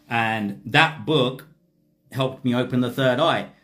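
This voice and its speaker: Audible room echo surrounds a man as he speaks. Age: 40s. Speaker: spiritual teacher. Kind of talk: livestream talk.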